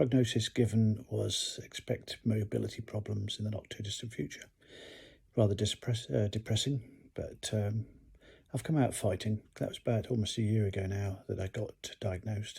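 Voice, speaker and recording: A man with an English accent speaks at a moderate pace in a fairly low, somewhat breathy voice with fairly even intonation, on a very clean recording with a silent background. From UK. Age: 60s. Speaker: retired pilot and hiker vlogger. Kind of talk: casual vlog talk, partly read from notes. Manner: halting with many fillers.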